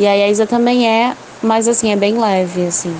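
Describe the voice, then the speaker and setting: Woman's medium-pitched voice, fairly slow, with fairly even intonation and noticeable background noise. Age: 30s. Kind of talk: testimony.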